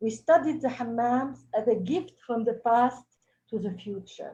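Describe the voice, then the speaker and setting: In a French accent, a woman speaks at a fairly slow pace with a fairly high pitch, a dark, mellow tone and ordinary pitch variation. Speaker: cultural heritage expert. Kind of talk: webinar presentation. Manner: halting.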